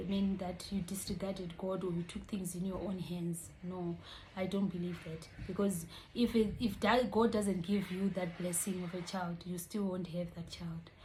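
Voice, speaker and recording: Monotone, flat intonation comes at a moderate pace with audible room echo. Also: woman. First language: not English. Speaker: vlogger. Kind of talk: casual vlog explainer.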